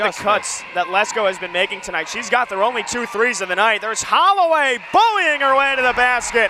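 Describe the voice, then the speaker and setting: A man's extremely high-pitched, raised and projected voice at a fairly quick clip, over noticeable background noise. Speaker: sports play-by-play announcer. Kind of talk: live basketball play-by-play commentary.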